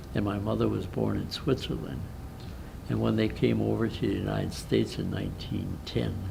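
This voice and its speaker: Audible room echo surrounds the speaker. A man talks at a fairly quick pace. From Milwaukee, Wisconsin, US Midwest. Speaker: war veteran. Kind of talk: interview. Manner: halting.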